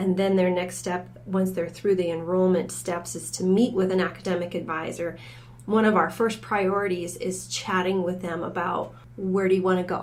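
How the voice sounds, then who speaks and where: Speaking at a moderate pace, a woman with an American accent keeps a medium pitch and monotone, flat intonation. Audible room echo surrounds her voice. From Michigan, US. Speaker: college academic advising director. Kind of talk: podcast interview.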